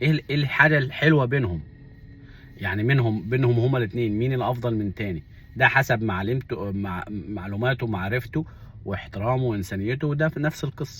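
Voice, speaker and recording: A man speaks at a medium pitch with an Upper Egyptian accent. His pace is moderate and his pitch varies in an ordinary way. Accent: Upper Egyptian (Saidi) Arabic, unchanged. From Upper Egypt (Minya). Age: 40s. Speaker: vlogger. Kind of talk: casual monologue.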